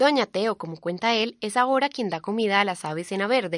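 A woman talks at a fairly quick pace with lively intonation and a medium pitch, in an ordinary speaking voice. The sound is dry and close with no echo, over a quiet background. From Colombia, Antioquia. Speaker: reporter. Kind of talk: scripted narration.

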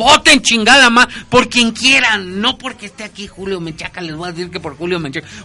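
A man's raised, projected voice, high in pitch, with lively intonation and big swings in loudness over noticeable background noise. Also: fairly quick pace. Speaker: radio host. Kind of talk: casual chat.

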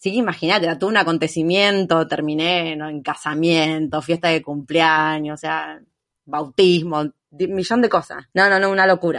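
In a Rioplatense accent, a woman with fairly low pitch speaks at a moderate pace and fairly even intonation against a quiet background. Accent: Argentine Spanish (rioplatense). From Argentina. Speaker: long-term traveller. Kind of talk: casual interview chat.

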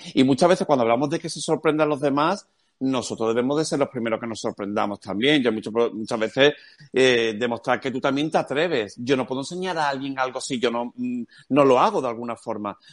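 A man with an unremarkable speaking voice at medium pitch, fairly quick, with ordinary pitch variation against a quiet background. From Cádiz, Andalusia, Spain. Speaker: education speaker and marketing specialist. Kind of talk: interview.

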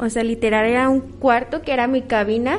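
A woman with a fairly high voice speaks at a moderate pace with fairly even intonation. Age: 20s. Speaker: cosmetologist and spa therapist. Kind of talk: interview testimony. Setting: auditorium with audience. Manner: halting.

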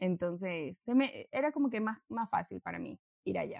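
Speaking in a coastal Ecuadorian accent, a woman talks. Her pace is moderate. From Ecuador, Guayaquil. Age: 20s. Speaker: engineer. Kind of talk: casual chat.

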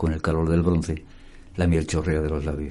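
A man speaks with a very deep, low pitch and a dark, mellow tone at a moderate pace. His intonation is monotone and flat, with audible room echo. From Andalusia, Seville. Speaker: singer-songwriter and painter. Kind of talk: casual interview chat.

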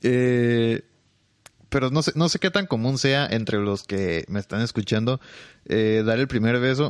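A man speaks at a fairly slow pace with a medium pitch. The background is quiet. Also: dry, close sound with no echo. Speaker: podcaster and streamer. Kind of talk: casual solo podcast monologue. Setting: home bedroom at night. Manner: quieter and slower than usual.

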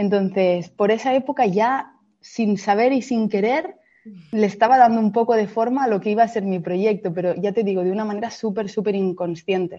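Using an unremarkable speaking voice, a woman talks at a fairly high pitch and a moderate pace, with ordinary pitch variation. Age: 30s. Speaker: fashion entrepreneur. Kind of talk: interview.

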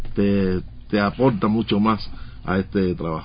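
A man speaks with fairly even intonation. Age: 60s. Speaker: radio journalist. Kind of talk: interview.

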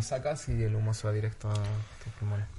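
Noticeable background noise sits behind this man's voice. He talks at a fairly quick pace with a medium pitch. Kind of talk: casual chat. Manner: calm, soothing.

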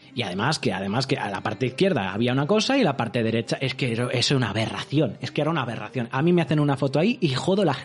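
A man with a medium-pitched voice speaks very fast in an animated tone with lively intonation. Noticeable background noise runs behind him. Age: 30s. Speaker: live streamer. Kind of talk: casual livestream chat.

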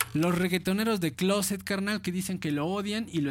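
The man speaks at a high pitch. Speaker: internet radio host. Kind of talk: casual radio chat.

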